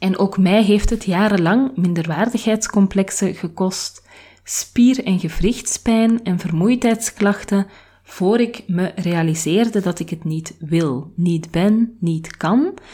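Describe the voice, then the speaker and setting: Dark and mellow in tone, a woman speaks somewhat breathily at a very slow pace. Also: medium pitch for a woman, ordinary pitch variation. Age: 30s. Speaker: podcast host. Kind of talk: personal reflective monologue.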